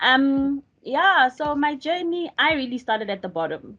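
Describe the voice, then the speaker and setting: Against a quiet background, a woman in a normal speaking voice uses lively intonation at a fairly slow pace. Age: young. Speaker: data professional. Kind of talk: panel self-introduction.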